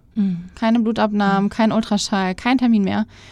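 Speaking at a fairly quick pace, a woman holds a medium pitch with monotone, flat intonation. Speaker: podcast guest sharing her fertility treatment story. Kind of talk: casual interview.

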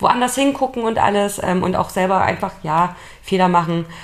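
A woman talks at a fairly quick pace with lively intonation in a normal speaking voice. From Leipzig, Saxony, Germany. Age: 30s. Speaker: podcast co-host, team leader. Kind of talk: casual chat.

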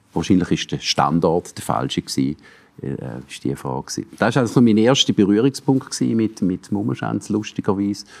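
In a Swiss accent, a man with fairly low pitch and vocal fry talks at a moderate pace, his pitch swinging very widely. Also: dry, close sound with no echo. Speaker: cultural manager and former radio music editor. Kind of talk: interview. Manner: halting.

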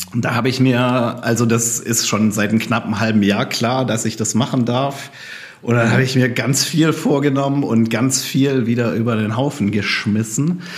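A man speaks at medium pitch and a moderate pace with fairly even intonation. Audible room echo and noticeable background noise surround him. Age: 40s. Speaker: former missionary and refugee aid worker. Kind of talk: casual chat.

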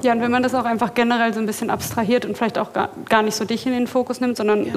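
Noticeable background noise accompanies a woman whose voice is fairly high in pitch. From Berlin, Germany. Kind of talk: live podcast panel discussion. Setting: stage with live audience.

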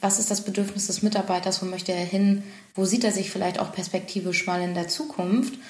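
A medium-pitched woman at a fairly quick pace with fairly even intonation, against noticeable background noise and audible room echo. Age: 30s. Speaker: business consultant and company director. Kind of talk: podcast interview.

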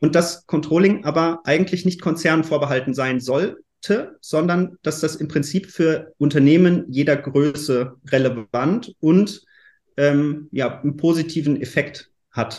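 A man with a fairly high pitch and ordinary pitch variation speaks at a fairly slow pace against a quiet background. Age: 30s. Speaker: startup founder. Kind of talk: interview. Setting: virtual recording studio. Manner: hesitant, with fillers.

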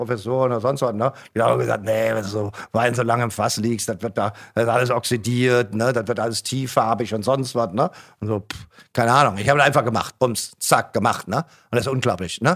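Heard in a very clean recording with a silent background, a man talks at a very fast pace with a medium pitch and ordinary pitch variation. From Germany, Mosel region. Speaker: winemaker. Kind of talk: casual chat. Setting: studio. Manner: animated.

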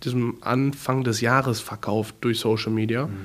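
A man has an unremarkable speaking voice at medium pitch. He keeps a moderate pace with fairly even intonation. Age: 20s. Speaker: car salesman and content creator. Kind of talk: interview.

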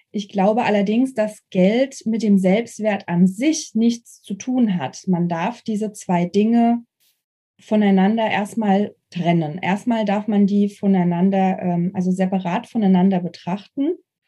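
A woman at medium pitch speaks very slowly, somewhat breathy, with a dark, mellow tone. Her pitch varies in an ordinary way. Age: 30s. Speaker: investor and former hotel professional. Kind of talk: casual interview.

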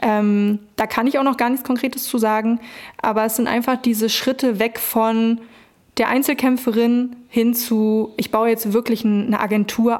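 A woman's fairly high voice in a monotone, flat intonation, at a moderate pace. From Brandenburg, Germany. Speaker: hip-hop agency founder. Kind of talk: interview.

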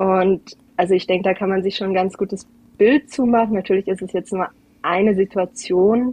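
This woman has a normal speaking voice at a medium pitch. She keeps a moderate pace and fairly even intonation. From Portugal (Algarve), German family. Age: 20s. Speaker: guest, mother and Portuguese teacher. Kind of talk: casual interview chat.

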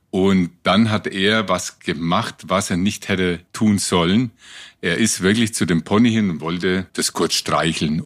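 Very deep, low male speech with ordinary pitch variation. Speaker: rescue helicopter pilot. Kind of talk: storytelling interview. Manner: lively.

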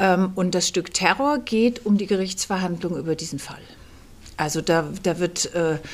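At a very slow pace, a woman speaks in a fairly low pitch. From Kassel, northern Hesse, Germany. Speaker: theatre director. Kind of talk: interview. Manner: hesitant, many fillers.

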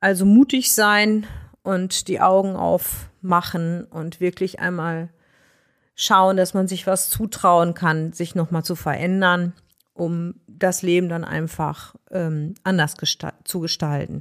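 A woman speaks at a very slow pace with a fairly low pitch and fairly even intonation. The recording is very clean, with a silent background. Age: 50s. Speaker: nurse. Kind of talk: interview.

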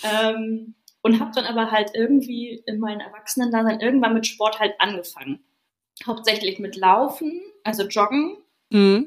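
Pitch varies in an ordinary way at a moderate pace. The delivery comes in a plain, everyday voice. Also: woman, fairly high pitch for a woman. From northern Germany, Schleswig-Holstein (Stormarn). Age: 30s. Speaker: yoga teacher. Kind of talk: casual chat.

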